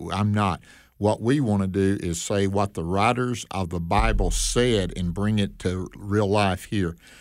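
On a very clean recording with a silent background, a man with a fairly low pitch speaks at a fairly slow pace. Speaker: radio Bible teacher. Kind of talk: casual chat. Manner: animated.

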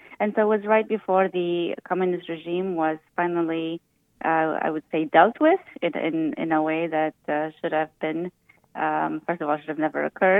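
Her voice is fairly low in pitch, with a Romanian accent. The woman keeps a moderate pace and fairly even intonation. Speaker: physician. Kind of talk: radio interview.

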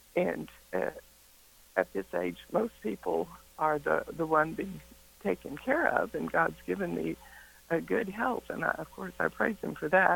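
Man speaking at a fairly slow pace with long, frequent pauses over noticeable background noise. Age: 70s. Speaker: radio caller, elderly caregiver. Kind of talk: call-in conversation. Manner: halting, many fillers.

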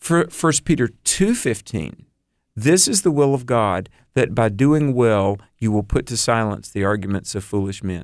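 The recording is very clean, with a silent background, as a man speaks in a plain, everyday voice. His pitch is medium, his intonation lively and his pace moderate. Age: 50s. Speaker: author and professor, youth minister. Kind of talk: radio interview.

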